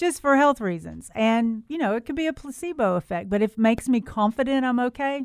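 In a Southern US accent, a woman with a high pitch talks at a fairly quick pace with lively intonation, the sound dry and close with no echo. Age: 50s. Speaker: radio host, garden center manager. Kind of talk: call-in radio chat.

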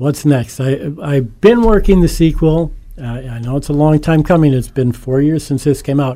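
At a moderate pace, a man with an American accent speaks at a fairly high pitch in a dark, mellow tone, with ordinary pitch variation. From Northeast Pennsylvania (Scranton). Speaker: author. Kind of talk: interview.

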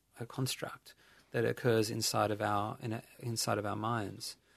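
At a moderate pace, a man talks with an Australian accent. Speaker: meditation teacher. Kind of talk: casual chat.

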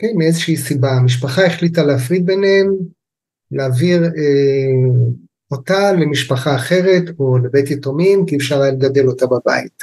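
Somewhat breathy and very even in loudness, a man's fairly high voice moves with ordinary pitch variation. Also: moderate pace. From Israel, kibbutz in the north. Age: 60s. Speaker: family constellation therapist. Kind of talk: interview, explanatory.

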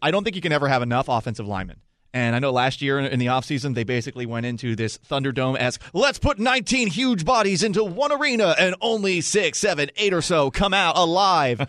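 A loud, energetic man at a fairly high pitch, very fast, with very wide pitch swings, against a quiet background. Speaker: radio host. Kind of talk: live radio draft coverage with host banter. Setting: radio studio. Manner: loud, bantering, energetic.

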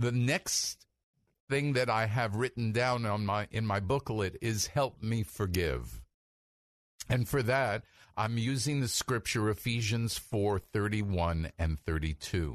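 A man with an ordinary speaking voice talks at a fairly slow pace in a fairly low pitch. His loudness is very even and his pitch varies in an ordinary way, with a dry, close sound, no echo and a quiet background. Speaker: rabbi and radio preacher. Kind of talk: fervent prayer, praying scripture aloud; radio sermon/teaching. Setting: radio studio broadcast. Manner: earnest, fervent, devotional.

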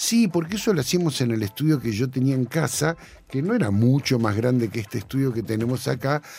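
Against noticeable background noise, a man talks at a fairly quick pace and medium pitch with lively intonation. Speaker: sound engineer and music producer. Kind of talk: casual interview chat.

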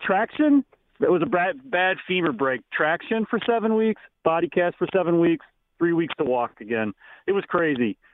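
A high-pitched man at a moderate pace, with very wide pitch swings and very even loudness. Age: 60s. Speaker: caller. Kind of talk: call-in chat. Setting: phone call.

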